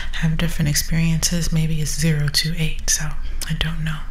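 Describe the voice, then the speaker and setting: A soft-spoken woman talks at a moderate pace. Noticeable background noise can be heard. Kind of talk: ASMR product review.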